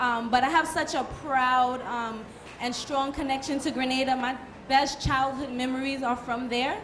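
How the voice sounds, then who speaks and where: Amid audible room echo, a woman with an American accent and a high pitch speaks at a fairly slow pace with fairly even intonation. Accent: sounds very American. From Brooklyn, New York. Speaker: soca artiste. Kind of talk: panel discussion.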